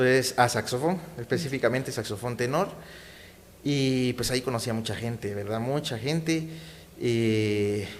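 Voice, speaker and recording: This man's a plain, everyday voice sits at medium pitch, moving at a moderate pace with ordinary pitch variation. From Guatemala, Guatemala City. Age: 30s. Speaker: saxophonist and community activist. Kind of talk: interview.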